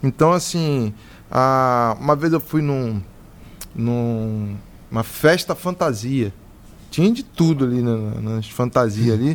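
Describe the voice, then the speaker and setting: The pace is very slow. Pauses are long and frequent. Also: man, medium pitch for a man, ordinary pitch variation. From Rio de Janeiro, Brazil. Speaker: podcast co-host. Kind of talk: casual podcast interview.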